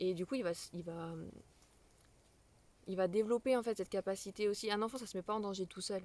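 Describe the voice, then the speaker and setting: At a fairly quick pace, a woman of medium pitch speaks with fairly even intonation in a dry, close sound with no echo. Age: 20s. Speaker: parenting vlogger. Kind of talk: casual explainer vlog. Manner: halting, many fillers.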